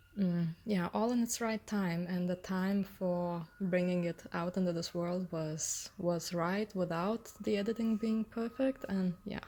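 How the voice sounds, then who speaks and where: A woman's dark, mellow voice in a non-native accent, medium in pitch, with ordinary pitch variation and a fairly slow pace. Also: hardly any pauses. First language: not English. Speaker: author. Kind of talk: personal reflection on own book. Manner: hesitant, many fillers.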